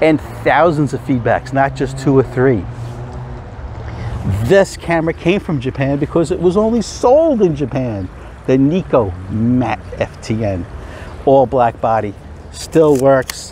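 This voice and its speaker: A man's fairly slow speech with lively intonation and long, frequent pauses, dry with no echo, over light background noise. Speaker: film photography vlogger. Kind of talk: casual vlog chat. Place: open country. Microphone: phone near.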